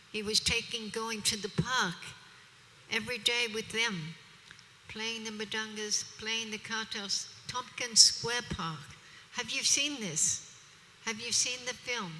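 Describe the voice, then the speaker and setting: A woman with an Australian accent talks at a fairly slow pace in a fairly high pitch, with ordinary pitch variation and long, frequent pauses. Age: 70s. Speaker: preacher. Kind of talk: religious discourse. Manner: animated.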